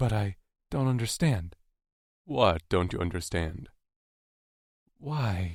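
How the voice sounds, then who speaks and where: Putting on a character voice, a man speaks fairly slowly at a fairly low pitch with long, frequent pauses, on a very clean recording with a silent background. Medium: read story. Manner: hesitant, quiet.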